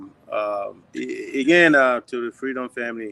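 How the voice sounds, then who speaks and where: A man with a Liberian accent at a fairly slow pace, dry and close with no echo. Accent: Loma. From Liberia, Vonjama District, Lofa County. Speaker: diaspora listener calling in. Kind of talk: casual call-in chat. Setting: video call from a high school gym.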